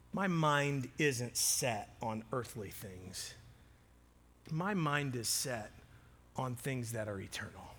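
Through audible room echo, a man speaks at a very slow pace with long, frequent pauses, a medium pitch, and lively intonation. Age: 40s. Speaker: pastor. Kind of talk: sermon.

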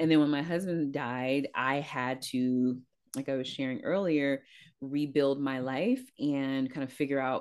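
With an American accent, a woman speaks at a moderate pace in a very deep, low pitch and fairly even intonation over a quiet background. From Northern California, East Palo Alto. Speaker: corporate diversity executive and leadership coach. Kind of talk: interview.

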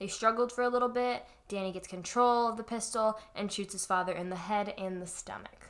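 A woman's plain, everyday voice in an American accent, fairly quick and at a medium pitch, with ordinary pitch variation and big swings in loudness. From Florida. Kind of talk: casual chat, recounting a crime case.

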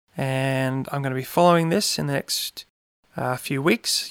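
On a very clean recording with a silent background, a man with an Australian accent speaks at a medium pitch and moderate pace, dry and close with no echo. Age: 30s. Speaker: podcast host. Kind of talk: casual monologue.

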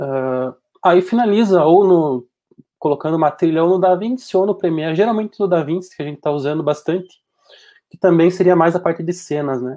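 At a fairly quick pace, a man speaks with a high pitch, a dark, mellow tone and ordinary pitch variation. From Passo Fundo, Rio Grande do Sul, Brazil. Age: 20s. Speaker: 3D animator and video editor. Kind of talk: casual chat.

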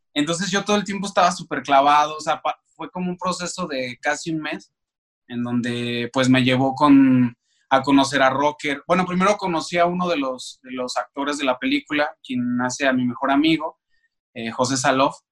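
Speaking at a moderate pace, a man's fairly high voice shows ordinary pitch variation. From Mexico, Aguascalientes. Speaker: actor. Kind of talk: interview. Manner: halting, with many repeated words.

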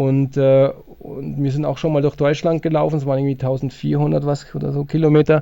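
Moderately paced, a man's dark, mellow voice stays monotone and flat at a fairly high pitch. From Allgäu, Bavaria. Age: 50s. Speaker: trail runner and sports shop owner. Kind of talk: casual interview.

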